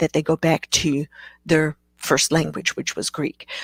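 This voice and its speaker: In a dry, close sound with no echo, a woman speaks at a fairly slow pace and a fairly low pitch. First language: Afrikaans. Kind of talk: live Q&A webcast. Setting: live stream. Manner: hesitant, many fillers.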